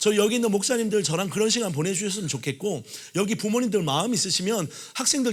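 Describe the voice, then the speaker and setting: Animated and very fast, a man speaks with lively intonation amid audible room echo. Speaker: pastor. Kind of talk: sermon.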